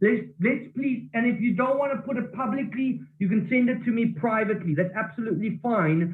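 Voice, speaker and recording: This loud man speaks at a moderate pace, his high-pitched voice carrying lively intonation. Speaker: network marketing team leader. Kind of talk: online training call. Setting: office. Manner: animated.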